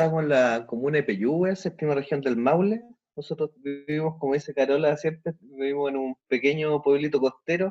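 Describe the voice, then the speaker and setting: A man speaks in a plain, everyday voice, pitched fairly high for a man, at a moderate pace. His pitch varies in an ordinary way, and the sound is dry and close with no echo. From Chile, Temuco. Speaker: teaching assistant, photographer and amateur musician. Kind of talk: podcast interview.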